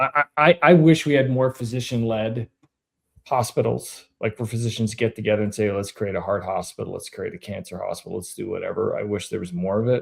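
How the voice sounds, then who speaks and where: On a very clean recording with a silent background, a man with a plain, everyday voice speaks at a fairly quick pace and medium pitch, with ordinary pitch variation. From Canada. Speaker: podcast host. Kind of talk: casual interview chat.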